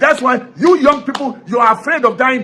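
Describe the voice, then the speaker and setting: Noticeable background noise surrounds a man with an extremely high voice. He talks fairly quickly in a raised, projected voice. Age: 60s. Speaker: political commentator. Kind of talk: political commentary monologue. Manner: animated.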